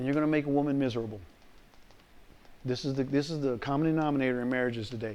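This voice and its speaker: Speaking at a very fast pace with long, frequent pauses, a man of medium pitch is heard with audible room echo. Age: 60s. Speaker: pastor. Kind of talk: lecture. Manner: animated; repetitive, stammering restarts.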